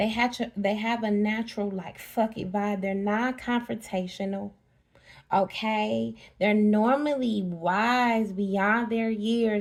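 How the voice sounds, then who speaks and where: Recorded very cleanly with a silent background, a woman with an unremarkable speaking voice and a medium pitch speaks at a fairly slow pace with fairly even intonation. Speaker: spiritual reader. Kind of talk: casual spiritual talk to camera.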